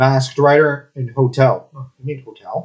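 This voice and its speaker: A man's somewhat breathy, fairly high voice at a moderate pace. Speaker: podcast co-host reviewing a comic. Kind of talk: casual review discussion. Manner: animated.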